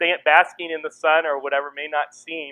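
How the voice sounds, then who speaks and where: A man's fairly high voice moves at a fairly quick speed. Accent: American. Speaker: missionary. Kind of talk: sermon. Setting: church. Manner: loud; speeds up as he goes.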